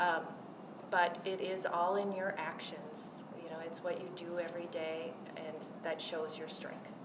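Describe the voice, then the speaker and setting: A woman talks at a fairly slow pace in a fairly low pitch with monotone, flat intonation. Noticeable background noise and audible room echo are present. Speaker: panelist at women's leadership event. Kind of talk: panel discussion.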